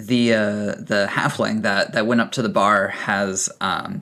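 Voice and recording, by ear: The natural voice reading aloud here keeps its intonation fairly even.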